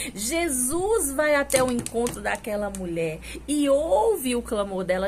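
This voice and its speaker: Over noticeable background noise, a woman talks at a very slow pace. Her pitch swings very widely. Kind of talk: sermon preaching. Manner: fervent, exhortative.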